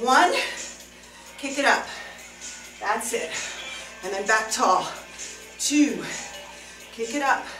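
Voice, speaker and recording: A woman speaks at a high pitch. Clear music plays in the background. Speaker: fitness instructor. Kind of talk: workout instruction. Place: studio. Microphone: camera far.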